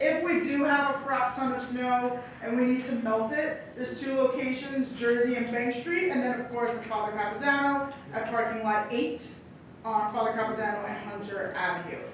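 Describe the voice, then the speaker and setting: Speech at a fairly quick pace with ordinary pitch variation, recorded with noticeable background noise and audible room echo. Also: woman. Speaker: sanitation department representative. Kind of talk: public meeting presentation and Q&A. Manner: fast.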